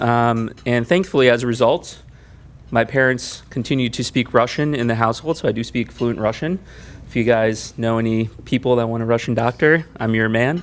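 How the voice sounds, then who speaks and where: A man speaks with a Mid-Atlantic US accent. His pace is moderate. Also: medium pitch for a man, ordinary pitch variation. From US, Maryland (Montgomery County). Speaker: orthopedic surgeon. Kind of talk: talk to community audience.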